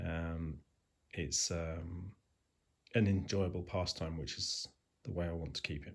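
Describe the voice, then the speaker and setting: Very deep and low, a man's somewhat breathy voice moves at a fairly slow pace with fairly even intonation and long, frequent pauses. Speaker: railway modeller. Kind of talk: casual talk to camera. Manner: hesitant, lots of ums and ahs.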